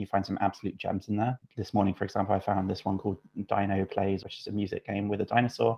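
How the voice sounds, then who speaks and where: In a British accent, a man talks at a very fast pace with a fairly low pitch and monotone, flat intonation. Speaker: UX writer. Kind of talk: casual chat.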